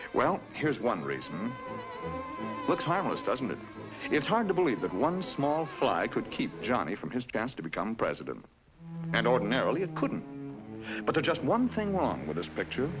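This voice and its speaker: A man talks at a moderate pace. Behind his voice, music can be heard. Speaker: narrator. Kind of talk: educational cartoon narration. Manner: wry, conversational. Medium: cartoon.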